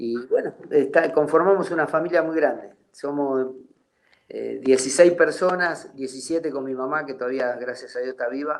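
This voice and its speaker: At a moderate speed, a man talks with a pitch that sits fairly high. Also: ordinary pitch variation, big swings in loudness. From Argentina. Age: 60s. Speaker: retired footballer. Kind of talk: interview. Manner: halting.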